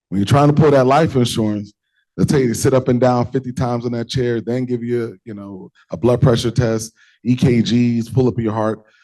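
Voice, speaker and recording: A man with an American accent talks at a fairly quick pace in a dark, mellow tone. The background is quiet. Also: medium pitch for a man, fairly even intonation. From Brooklyn, New York. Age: 40s. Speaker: healthcare executive, guest speaker. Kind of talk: audience Q&A answers.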